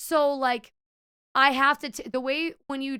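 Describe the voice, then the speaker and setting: Projected and raised, a woman's high, bright, sharp voice carries an animated tone on a very clean recording with a silent background. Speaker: streamer; server. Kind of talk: casual chat. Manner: animated storytelling.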